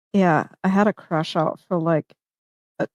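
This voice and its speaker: This woman has a fairly low pitch, fairly even intonation and vocal fry, with a dry, close sound and no echo. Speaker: fundraiser organizer. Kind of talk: casual chat.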